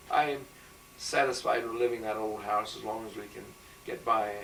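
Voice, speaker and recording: There's a clear echo from the room and a fair bit of background noise as a man talks. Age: 70s. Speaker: retired teacher. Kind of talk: oral history interview.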